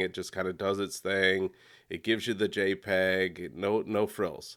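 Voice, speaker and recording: Speaking at a moderate pace in an ordinary speaking voice, a man with a fairly low pitch is heard on a very clean recording with a silent background. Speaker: photography educator guest. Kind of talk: casual interview conversation. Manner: conversational, repeats words.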